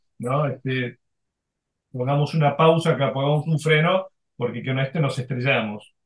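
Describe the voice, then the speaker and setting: A somewhat breathy man talks at a moderate pace with fairly even intonation. Long pauses come often. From Argentina. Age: 60s. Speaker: former corporate executive, now executive coach. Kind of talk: interview. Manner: halting, many fillers.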